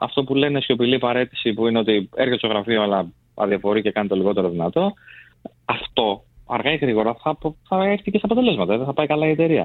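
At a very fast pace, a man speaks with very wide pitch swings while keeping a very even loudness. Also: medium pitch for a man. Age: young. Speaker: recruitment business executive. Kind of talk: radio studio discussion. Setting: radio studio.

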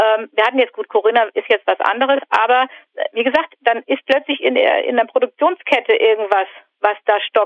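A woman speaks in a high voice at a moderate pace. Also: ordinary pitch variation. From northern Germany. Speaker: civil engineer, construction site manager. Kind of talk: casual interview about personal life.

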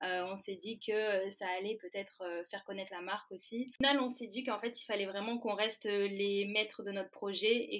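Her medium-pitched voice moves at a moderate pace, and the woman keeps her intonation flat and monotone. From France, Valence. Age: 20s. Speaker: food startup co-founder. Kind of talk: interview.

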